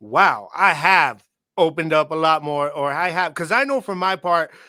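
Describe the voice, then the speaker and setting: Loud and high-pitched with a bright, sharp tone, a man talks at a fairly quick pace on a very clean recording with a silent background. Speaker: podcast host. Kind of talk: casual chat.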